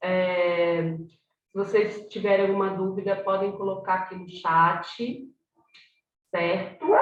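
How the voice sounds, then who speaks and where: A woman at a medium pitch, with audible room echo. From Brazil, São Paulo south zone. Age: 40s. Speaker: workshop facilitator. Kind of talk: online workshop.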